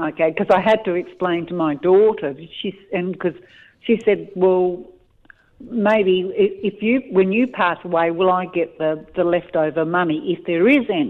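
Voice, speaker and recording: At a fairly slow pace, a woman with an Australian accent speaks at a medium pitch with ordinary pitch variation. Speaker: caller. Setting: phone call.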